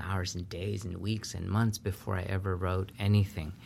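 A man's fairly low, somewhat breathy voice. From Peru. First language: Spanish. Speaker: professor. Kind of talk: interview.

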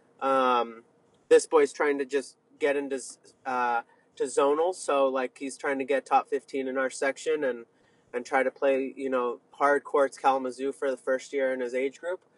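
Dry and close with no echo, a normal speaking voice from a man comes at a medium pitch, a moderate pace and fairly even intonation. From Northern California (Sonoma County), moved from abroad at five. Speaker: tennis coach and academy owner. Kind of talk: interview.

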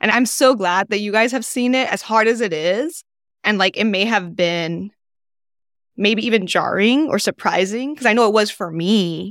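A normal speaking voice from a woman, fairly high in pitch, at a moderate pace with ordinary pitch variation, on a very clean recording with a silent background. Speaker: executive director of a diversity office. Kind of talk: casual chat. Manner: warm.

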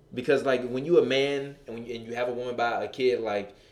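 A man at medium pitch is heard with audible room echo and noticeable background noise. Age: 20s. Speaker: relationship podcast host. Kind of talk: casual chat. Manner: animated.

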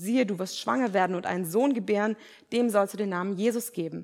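A woman speaks at a medium pitch with ordinary pitch variation in a normal speaking voice. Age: 20s. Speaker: preacher, theology student. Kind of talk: sermon. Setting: church.

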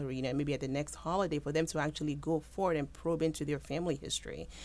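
Very fast and with vocal fry, a woman speaks in an American accent, her pitch very deep and low with ordinary variation. The recording is very clean, the background silent. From Houston, Texas, Nigerian parents. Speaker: medical resident doctor. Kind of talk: interview.

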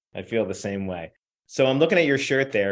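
This man has a plain, everyday voice. His pitch sits in the medium range. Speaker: podcast host and editor. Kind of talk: interview.

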